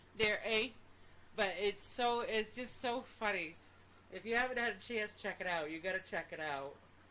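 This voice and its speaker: The speaker has a Maine accent and ordinary pitch variation. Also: woman, fairly high pitch for a woman, moderate pace. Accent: Maine accent, said to be close to Canadian. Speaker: podcast co-host. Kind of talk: casual chat.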